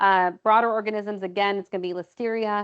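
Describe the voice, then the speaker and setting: A woman with a fairly high voice talks at a fairly quick pace with fairly even intonation. The sound is dry and close with no echo, against a quiet background. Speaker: medical exam review teacher. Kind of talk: live online lecture. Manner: fast.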